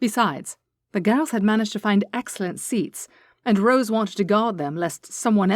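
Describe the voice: The background is quiet behind plain reading aloud.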